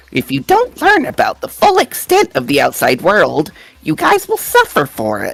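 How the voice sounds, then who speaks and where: At a moderate pace, the speaker performs in a put-on character voice. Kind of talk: video game character voice. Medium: video game. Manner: mocking, faux-caring.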